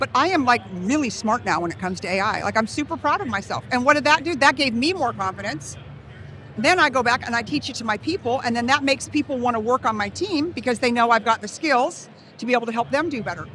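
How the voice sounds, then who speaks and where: Very fast and high-pitched, a woman speaks in an animated tone with lively intonation against noticeable background noise. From California. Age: 60s. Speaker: real estate leader. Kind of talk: interview.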